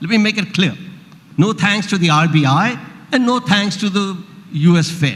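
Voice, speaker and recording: At a moderate pace with long, frequent pauses, a man with a high pitch and ordinary pitch variation speaks over noticeable background noise. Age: 70s. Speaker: economist. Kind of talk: panel discussion.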